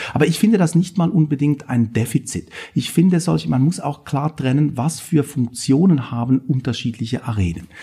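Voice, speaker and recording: Moderately paced speech from a man, fairly high in pitch and lively in intonation. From Switzerland. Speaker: political science professor. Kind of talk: interview.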